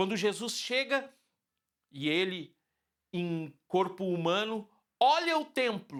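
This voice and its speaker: A man's high voice, very slow, with very wide pitch swings and long, frequent pauses. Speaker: pastor. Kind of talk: sermon. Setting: online church service.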